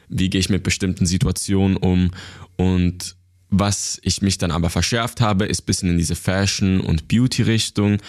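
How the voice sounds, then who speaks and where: A man's very deep, low voice with fairly even intonation, very even loudness and a moderate pace. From Switzerland, Basel area. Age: 20s. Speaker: YouTube creator. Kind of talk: interview. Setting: office.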